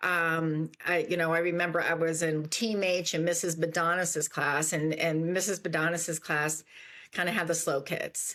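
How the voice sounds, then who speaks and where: In a very clean recording with a silent background, a woman speaks at a moderate pace in a fairly low pitch. Her tone is bright and sharp, her loudness very even, and her intonation flat and monotone. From US South, northern Virginia (Fairfax County). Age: 60s. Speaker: entrepreneur. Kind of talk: interview. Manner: halting, many fillers and restarts.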